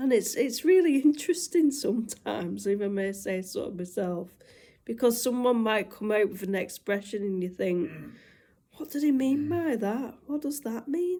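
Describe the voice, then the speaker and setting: A woman with a northwest English accent speaks at a moderate pace in a fairly high, somewhat breathy voice with a dark, mellow tone and very wide pitch swings, on a very clean recording with a silent background. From northwest England. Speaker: vlogger. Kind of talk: casual chat.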